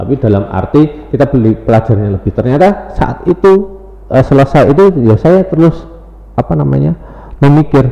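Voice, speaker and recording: Someone speaks at a fairly quick pace with a Javanese accent, amid noticeable background noise. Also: man. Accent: Javanese accent, medok. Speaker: teacher and lecturer. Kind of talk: podcast interview. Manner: hesitant, many fillers.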